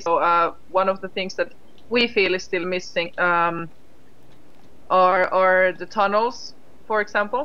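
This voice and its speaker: A woman with a Finnish accent and a medium-pitched voice speaks at a moderate pace with ordinary pitch variation. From Finland. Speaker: game studio CEO. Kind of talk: casual livestream chat. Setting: live game stream. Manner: hesitant, many fillers.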